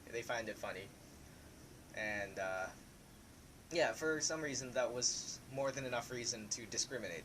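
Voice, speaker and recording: Here a man speaks at a medium pitch. The background noise is noticeable. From Philippines, Laguna province. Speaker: student discussing personal experience. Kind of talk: panel discussion. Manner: hesitant, many fillers.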